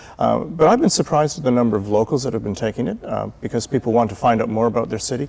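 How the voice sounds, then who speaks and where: In a Canadian accent, a man talks very fast with a dark, mellow tone and vocal fry. His pitch variation is ordinary. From Canada. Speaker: volunteer city tour guide. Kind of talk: TV interview.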